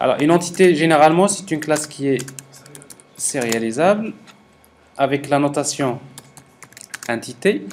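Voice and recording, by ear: Lively intonation, a slightly mellow tone, and long, frequent pauses. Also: man, fairly high pitch for a man, moderate pace.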